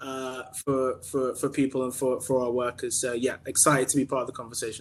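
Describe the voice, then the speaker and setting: A man with a British accent talks at a fairly quick pace in a medium pitch with monotone, flat intonation. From UK. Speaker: staffing cooperative founder. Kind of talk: panel discussion. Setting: video call.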